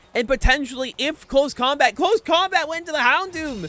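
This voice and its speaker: His intonation is lively. The man uses a raised, projected voice. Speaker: vtuber streamer and tournament caster. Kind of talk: live game commentary. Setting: livestream. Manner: stuttering; animated.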